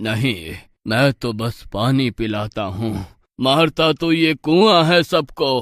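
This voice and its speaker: A man's cartoonish character voice at medium pitch, very slow in pace. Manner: soft, mournful.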